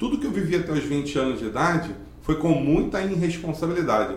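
A man's moderately paced speech carries audible room echo, and background noise is noticeable. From Brazil, Magé (Rio de Janeiro state). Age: 40s. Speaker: driving school owner and local council candidate. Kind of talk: interview.

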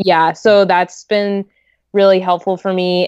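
A woman's fairly low voice with a western Canadian accent, at a moderate pace. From Canada, Greater Vancouver. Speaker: wedding photographer. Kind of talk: casual interview chat.

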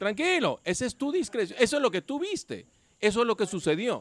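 Very wide pitch swings run through the man's speech at a moderate pace. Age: 60s. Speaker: amateur soccer league player. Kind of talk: casual chat.

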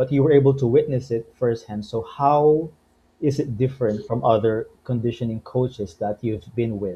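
At a medium pitch, a man speaks in a somewhat breathy voice. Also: ordinary pitch variation, moderate pace. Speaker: podcast host. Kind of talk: casual interview.

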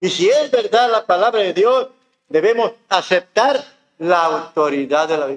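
His pitch swinging very widely, a man with a high voice talks fairly slowly. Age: 70s. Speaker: pastor. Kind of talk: sermon. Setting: church.

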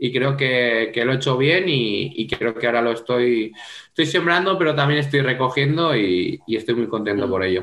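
Keeping his loudness very even, a man talks at a moderate pace and medium pitch with ordinary pitch variation. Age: 20s. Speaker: futsal player. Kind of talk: interview. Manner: halting.

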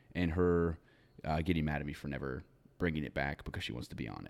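A man speaks at a fairly quick pace in a very deep, low voice with vocal fry. The recording is very clean, with a silent background. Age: 20s. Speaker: podcast co-host. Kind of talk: casual chat.

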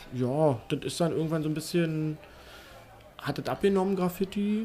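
His tone dark and mellow, a man talks in a high voice with ordinary pitch variation. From Berlin. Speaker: BMX ramp builder. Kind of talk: casual chat.

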